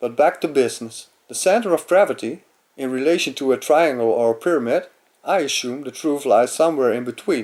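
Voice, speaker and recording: Speaking at a fairly quick pace with lively intonation and a Dutch accent, a man with a fairly high pitch is heard on a very clean recording with a silent background. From Netherlands. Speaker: amateur philosopher. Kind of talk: lecture. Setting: webcam recording. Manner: halting.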